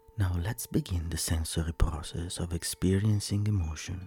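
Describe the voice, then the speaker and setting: A man's very deep, low voice in a soothing, calm tone, with music in the background. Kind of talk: guided meditation. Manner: slow, soothing and calm, with long pauses between instructions; soft-spoken, gentle and reassuring.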